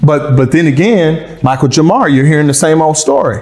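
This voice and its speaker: A man with a slight Southern US accent and fairly even intonation, audible room echo, and music playing behind him. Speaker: ex-husband interviewed about a celebrity. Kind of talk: interview. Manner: halting.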